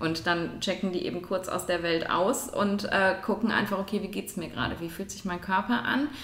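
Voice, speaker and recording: Speech at a moderate pace with hardly any pauses and ordinary pitch variation comes through over noticeable background noise. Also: woman, medium pitch for a woman. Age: 40s. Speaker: neurologist. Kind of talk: expert interview. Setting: at her home.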